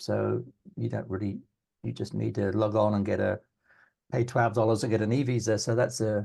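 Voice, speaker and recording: Vocal fry runs through this man's dark, mellow tone as he speaks at a moderate pace with fairly low pitch. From England. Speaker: immigration agent. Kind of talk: podcast interview. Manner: hesitant, many fillers.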